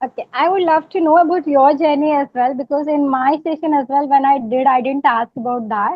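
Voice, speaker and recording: Her voice high in pitch with ordinary variation, a woman speaks with hardly any pauses. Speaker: English learner. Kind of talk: casual interview. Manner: hesitant.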